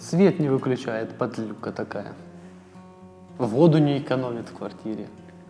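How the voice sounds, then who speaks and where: Over music in the background, a man speaks at a fairly slow pace with lively intonation, long and frequent pauses, and big swings in loudness. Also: medium pitch for a man. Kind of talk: casual conversation. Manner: joking, teasing.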